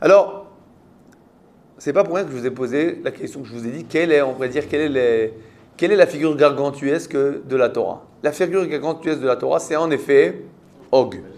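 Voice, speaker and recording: A man with a fairly high pitch speaks at a moderate pace, with ordinary pitch variation. He leaves long, frequent pauses, and his loudness swings widely. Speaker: rabbi teaching Torah class. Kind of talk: interactive Torah lesson with students. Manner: conversational, questioning.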